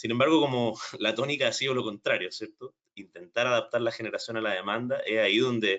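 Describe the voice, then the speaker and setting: A man with a Chilean accent at a fairly quick pace. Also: hardly any pauses. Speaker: energy storage specialist. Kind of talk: technical training webinar. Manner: hesitant, with repetitions and fillers.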